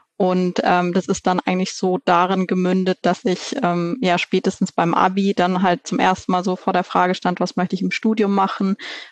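In a normal speaking voice, a woman speaks at medium pitch and a moderate pace with very even loudness, fairly even intonation, and hardly any pauses, in a dry, close sound with no echo. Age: 30s. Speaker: managing director of a family organic food company. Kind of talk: interview.

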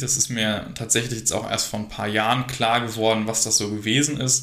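Words tumble out very fast, yet the intonation stays fairly even. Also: man. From Germany, Harsewinkel (Westphalia). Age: 20s. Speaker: workplace safety entrepreneur. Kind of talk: interview. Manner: hesitant, many fillers.

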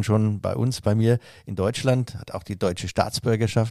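A man's unremarkable speaking voice, medium in pitch with ordinary pitch variation and a fairly quick pace. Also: very clean recording, silent background. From Franconia, Nuremberg. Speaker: master hairdresser and trade chamber president. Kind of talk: interview. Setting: office.

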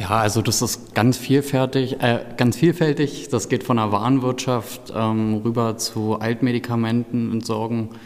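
Through noticeable background noise, a man at medium pitch talks at a fairly slow pace with fairly even intonation and hardly any pauses. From eastern Germany, Brandenburg. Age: 20s. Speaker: pharmacy technician trainee. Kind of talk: interview.

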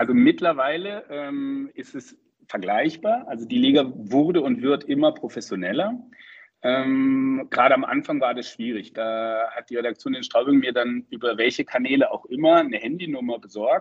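A man talks at a moderate pace. His volume rises and falls sharply. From Freiburg, southwestern Germany. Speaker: ice hockey journalist. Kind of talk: interview. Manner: hesitant, many filler sounds.

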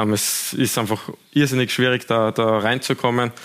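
Fairly even intonation marks this man's delivery. He uses an ordinary speaking voice pitched in the medium range. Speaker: professional footballer. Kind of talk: studio talk show.

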